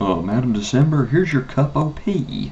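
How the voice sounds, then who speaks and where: A man's put-on character voice at a medium pitch, with lively intonation, a moderate pace and clear background noise. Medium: read story.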